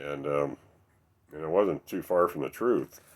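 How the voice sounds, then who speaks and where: A man with a very deep, low pitch at a fairly slow pace. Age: 60s. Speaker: recovering alcoholic sharing his story. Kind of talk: recovery meeting testimony. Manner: halting, many fillers.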